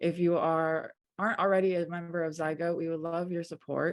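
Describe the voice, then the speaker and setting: This woman has a fairly low pitch. She talks at a moderate pace. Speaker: print studio technician, webinar moderator. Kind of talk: webinar introduction. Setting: video call webinar. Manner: soft-spoken.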